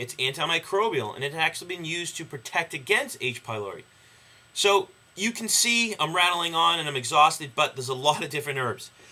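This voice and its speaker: A fairly high-pitched man at a fairly quick pace, with lively intonation. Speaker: herbal health educator. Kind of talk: tutorial. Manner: fast; stumbling.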